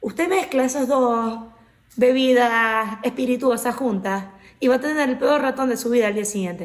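At a moderate pace, a woman with a high voice speaks with ordinary pitch variation. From Venezuela, Maracaibo. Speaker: podcast co-host. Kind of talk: casual chat.

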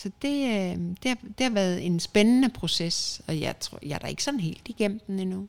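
A woman speaks in a normal speaking voice at a medium pitch, moving at a moderate pace with lively intonation. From Denmark. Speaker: podcast co-host. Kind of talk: casual chat.

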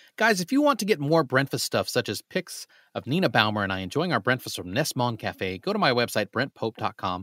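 In a very clean recording with a silent background and a dry, close sound with no echo, a man talks at a fairly quick pace with hardly any pauses and very wide pitch swings. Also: medium pitch for a man. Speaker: podcast host. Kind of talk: casual interview. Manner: animated.

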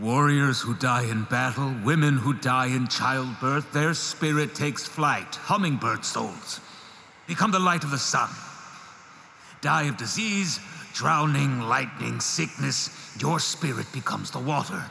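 A man's put-on character voice at a medium pitch, with clear background noise and a clear echo. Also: moderate pace. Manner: cold, detached, solemn.

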